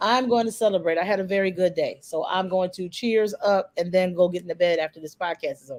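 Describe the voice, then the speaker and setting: A woman speaks at a very fast pace with hardly any pauses. Her loudness swings widely. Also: medium pitch for a woman, ordinary pitch variation. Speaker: podcast host. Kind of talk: casual chat. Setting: live video stream.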